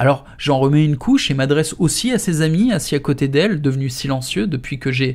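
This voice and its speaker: In a very clean recording with a silent background, a man with a plain, everyday voice speaks at a moderate pace, his fairly high pitch varying in an ordinary way. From France. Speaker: author reading his own book. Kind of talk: audiobook reading. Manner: casual, slangy narration.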